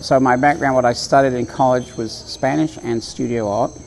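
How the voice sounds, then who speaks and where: Over noticeable background noise, a man speaks at a medium pitch and a fairly quick pace. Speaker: environmental educator and tour guide. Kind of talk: interview answer.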